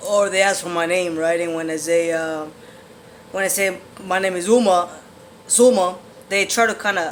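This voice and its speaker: Audible room echo surrounds a man with a high pitch and fairly even intonation. He keeps a moderate pace broken by long, frequent pauses. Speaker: vlogger sharing transition updates. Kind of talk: casual vlog monologue. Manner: hesitant, many fillers.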